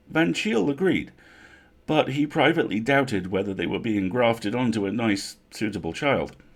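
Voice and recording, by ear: This man talks at a moderate pace with a medium pitch and lively intonation.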